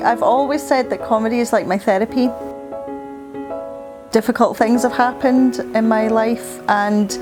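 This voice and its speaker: Over music in the background, a woman with a fairly high pitch and ordinary pitch variation talks at a moderate pace and very even loudness, with long, frequent pauses. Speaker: stand-up comedian. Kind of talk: interview answer.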